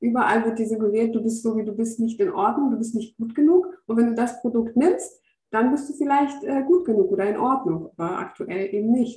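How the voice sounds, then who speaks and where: Her pitch is fairly high and her tone dark and mellow. The woman talks at a fairly quick pace with lively intonation. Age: 30s. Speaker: educator and spirituality coach. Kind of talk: casual interview. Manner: halting, many filler sounds.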